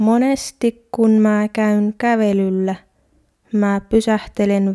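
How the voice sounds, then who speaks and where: A woman talks at a very slow pace and medium pitch, with a dark, mellow tone and monotone, flat intonation. The recording is very clean with a silent background and a dry, close sound with no echo. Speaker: Finnish language teacher. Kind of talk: language-learning monologue. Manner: slow and clear.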